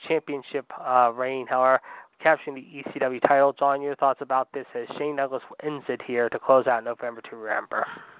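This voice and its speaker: A man talks at a fairly quick pace, his pitch fairly high. His intonation stays monotone and flat. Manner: bombastic, loud, showman-style pro-wrestling announcer cadence; rapid, punchy delivery, peppered with "ladies and gentlemen" and "if you will".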